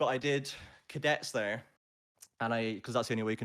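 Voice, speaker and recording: Speaking at a very fast pace in a medium pitch, a man with a slight Scottish accent is heard on a very clean recording with a silent background. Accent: generic English with slight Scottishness. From Scotland, with childhood moves around the UK. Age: 20s. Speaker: esports play-by-play caster. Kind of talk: casual interview chat. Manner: animated.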